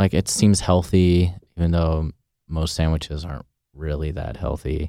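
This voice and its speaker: In a very clean recording with a silent background, a man with a West Coast accent speaks at a moderate pace. His very deep, low voice has a dark, mellow tone, and the sound is dry and close with no echo. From Portland, Oregon. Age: 30s. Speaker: chef and restaurant owner. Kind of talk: interview.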